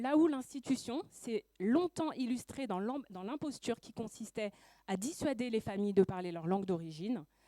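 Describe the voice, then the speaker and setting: At a moderate pace, a woman speaks with lively intonation and a dark, mellow tone. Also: fairly high pitch for a woman, dry, close sound with no echo. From Paris suburbs, France. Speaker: school education counselor and activist. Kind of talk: prepared speech.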